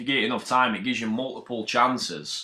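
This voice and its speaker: In a Yorkshire accent, a man talks at a fairly quick pace with a bright, sharp tone and medium pitch, on a very clean recording with a silent background. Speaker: amateur crypto trader. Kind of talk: casual explanation of trading charts. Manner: casual, sweary.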